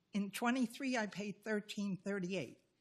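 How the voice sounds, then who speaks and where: The voice is a woman's, medium in pitch. It sounds somewhat breathy. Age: 80s+. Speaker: resident making public comment. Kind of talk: public comment speech.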